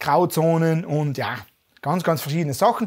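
The man speaks with a South Tyrolean accent at a high pitch. He keeps a moderate pace against a quiet background. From South Tyrol, Passeier valley; South Tyrol, Italy. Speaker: finance YouTuber. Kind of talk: interview. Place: home room.

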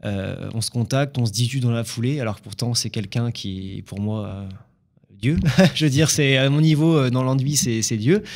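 The background stays quiet as a man delivers his words at a fairly slow pace. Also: ordinary pitch variation. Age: 20s. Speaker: drywall installer and painter. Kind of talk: interview. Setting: studio. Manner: hesitant, many fillers. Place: studio. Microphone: studio mic.

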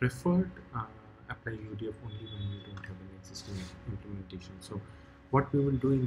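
Noticeable background noise is present. A man speaks with ordinary pitch variation. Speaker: programming tutor. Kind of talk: tutorial. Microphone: webcam.

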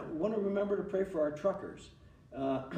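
A man is speaking with ordinary pitch variation. Audible room echo surrounds his voice. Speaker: pastor. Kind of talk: sermon. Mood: earnest, calm. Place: church.

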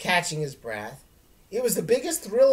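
The text is read aloud. The reading is plain.

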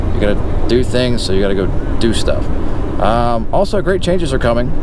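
A man talks at a fairly quick pace. The sound is dry with no echo, but loud noise fills the background. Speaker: truck driver vlogger. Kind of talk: casual vlog chat. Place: car. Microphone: phone near.

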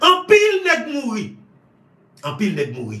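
At a fairly quick pace, a man speaks in an animated tone, with audible room echo around him. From Haiti. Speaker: online news commentator. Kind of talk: political commentary monologue. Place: home room. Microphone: phone near.

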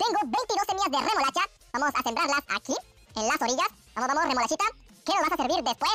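In a squeaky, high, put-on character voice, a woman talks very fast with long, frequent pauses while faint music plays behind her. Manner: quick, excited.

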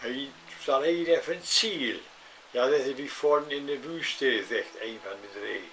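Light background noise runs under this recording. A man speaks very slowly in a northern German accent. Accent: Low German (Plattdeutsch). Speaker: joke teller; grandfather storyteller. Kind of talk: joke telling. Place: home room. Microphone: webcam.

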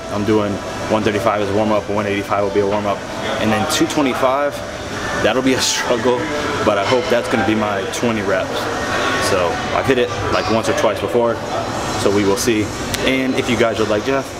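A man at a fairly quick pace, amid loud background noise. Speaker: fitness vlogger. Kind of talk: casual vlog chat. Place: gym. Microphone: phone near.

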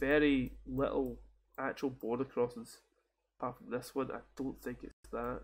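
A man speaks with a Scottish accent at a moderate pace. His loudness swings widely. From Scotland. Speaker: game streamer. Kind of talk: casual gaming commentary. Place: home room. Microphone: headset.

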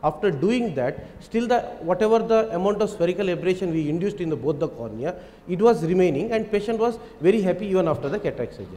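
Here a man speaks at a high pitch and a very fast pace. His intonation is lively. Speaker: eye surgeon; panelist. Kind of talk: panel discussion. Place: hall. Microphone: handheld.

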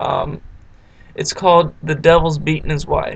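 A man speaks with a Virginia accent at a moderate pace. There is light background noise. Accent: Southern American, Virginia. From southeastern Virginia, USA. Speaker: accent tag vlogger. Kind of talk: casual talk to camera, accent word list. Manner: casual, hesitant. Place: home room. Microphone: webcam.

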